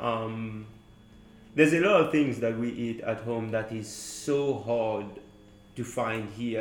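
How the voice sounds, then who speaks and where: A man at a medium pitch, very slow pace, with noticeable background noise. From Mauritius. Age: 20s. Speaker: university student. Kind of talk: casual chat.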